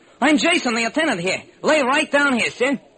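Doing a put-on character voice at a fairly quick pace, a man goes extremely high in pitch with big pitch swings, a bright, sharp tone and a slightly husky edge.

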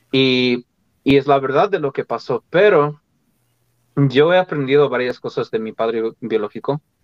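Delivered at a moderate pace with lively intonation and long, frequent pauses, the voice has a dry, close sound with no echo. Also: man. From Colorado, US. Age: 20s. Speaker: opera singer. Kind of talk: interview. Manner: halting.

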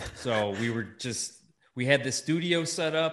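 An ordinary speaking voice, a man with an American accent at a fairly slow pace, ordinary pitch variation. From US Midwest, Chicago area. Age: 30s. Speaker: podcaster. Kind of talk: casual chat. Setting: in person.

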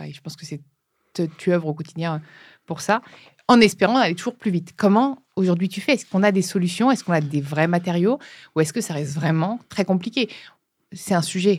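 In a very clean recording with a silent background, a woman with a fairly low pitch talks at a fairly quick pace with lively intonation, big swings in loudness, and long, frequent pauses. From France, Brittany. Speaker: podcast host. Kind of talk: interview.

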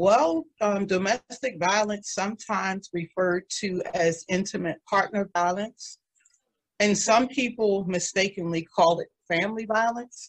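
In an ordinary speaking voice, a woman with an American accent talks at a fairly slow pace, her pitch medium with ordinary variation, recorded with a dry, close sound and no echo. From Washington, D.C. area (Maryland). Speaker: speaker and domestic violence survivor advocate. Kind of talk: interview.

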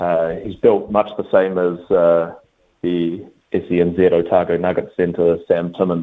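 Speaking with a New Zealand accent, a man talks at a very slow pace in a very deep, low pitch with monotone, flat intonation. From Auckland, New Zealand. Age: 20s. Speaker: basketball coach. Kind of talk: interview.

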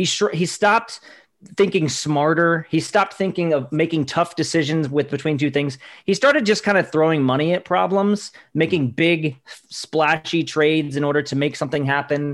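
A man talks with ordinary pitch variation at a moderate pace, in a plain, everyday voice. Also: fairly high pitch for a man. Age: 40s. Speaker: sports reporter. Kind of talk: casual chat.

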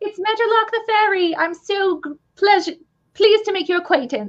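A squeaky, put-on character voice with an English accent speaks at a moderate pace. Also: woman, extremely high pitch for a woman. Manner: overly polite, posh.

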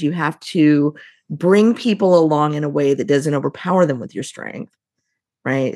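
In a Midwestern American accent, a woman speaks with a very deep, low pitch and ordinary pitch variation on a very clean recording with a silent background. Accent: General Midwestern American. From US Midwest. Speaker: leadership consultant and company CEO. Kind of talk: casual interview conversation.

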